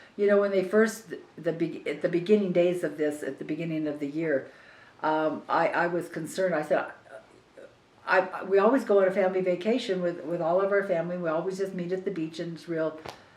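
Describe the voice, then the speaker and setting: A woman with an American accent talks at a fairly quick pace and a fairly low pitch with ordinary pitch variation, with audible room echo. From Southern California. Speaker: family member interviewee, cancer patient. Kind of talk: family oral history interview. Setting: at a relative's house. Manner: halting, repeats words.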